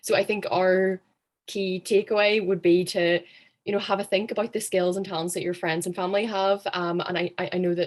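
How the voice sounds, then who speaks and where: In a Northern Irish accent, a woman talks at a fairly quick pace with a medium pitch and flat, monotone intonation. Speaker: former student society president. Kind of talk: online workshop presentation.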